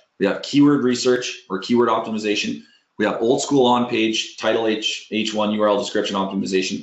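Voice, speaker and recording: A man talks at a fairly quick pace and a medium pitch. His intonation is fairly even. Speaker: SEO software webinar presenter. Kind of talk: tutorial webinar with screen demo. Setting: online webinar. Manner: fast.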